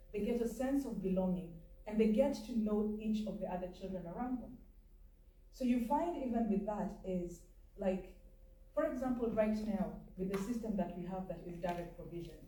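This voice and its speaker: A woman's fairly high-pitched, somewhat breathy voice in a dark, mellow tone, at a moderate pace with ordinary pitch variation and audible room echo. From Kenya. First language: not English. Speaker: community advocate. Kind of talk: panel discussion. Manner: conversational, some hesitations.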